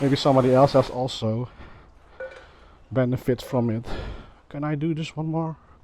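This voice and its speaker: Noticeable background noise sits behind a man speaking at a moderate pace. His intonation is fairly even, and he pauses long and often. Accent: Dutch. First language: Dutch. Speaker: motovlogger. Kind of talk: casual vlog talk. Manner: halting, many fillers.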